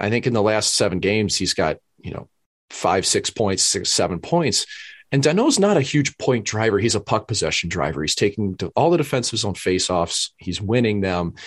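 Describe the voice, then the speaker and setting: With a plain, everyday voice, a man speaks at a moderate pace and a fairly low pitch with lively intonation, the sound dry and close with no echo against a quiet background. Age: 30s. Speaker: podcast co-host, former pro hockey goaltender. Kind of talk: casual chat.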